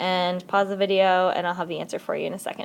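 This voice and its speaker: A woman's voice on a very clean recording with a silent background. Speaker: math teacher. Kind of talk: recorded lesson tutorial. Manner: fast.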